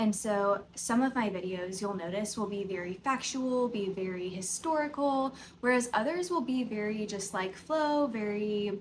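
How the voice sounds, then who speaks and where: A woman speaks at a moderate pace with lively intonation and a somewhat breathy voice, hardly pausing at all. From US South, Tennessee (near Nashville). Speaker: podcast host, yoga teacher. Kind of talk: casual unscripted chat to camera. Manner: conversational, filler-heavy.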